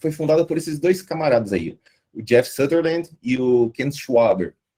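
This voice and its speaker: Here a man talks at a fairly slow pace. His pitch is fairly high, and his tone is dark and mellow. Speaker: guest lecturer on agile methods. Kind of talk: online lecture. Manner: casual, animated.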